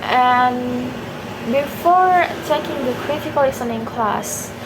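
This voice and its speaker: A woman with a non-native accent speaks at a very slow pace and a high pitch, with ordinary pitch variation. Noticeable background noise and audible room echo fill the recording. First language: not English. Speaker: university student. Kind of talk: exam video reflection. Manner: halting, self-correcting.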